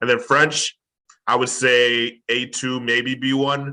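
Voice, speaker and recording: A bright, sharp tone with a Chicago accent and monotone, flat intonation. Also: man. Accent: Chicago American English. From US Midwest, Chicago. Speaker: language tutor and author. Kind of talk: casual interview conversation.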